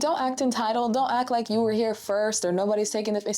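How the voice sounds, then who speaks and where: Music plays in the background as a woman talks with an American accent. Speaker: roller skating instructor and content creator. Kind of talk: casual talk to camera, tutorial. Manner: warm, chatty, expressive, humorous.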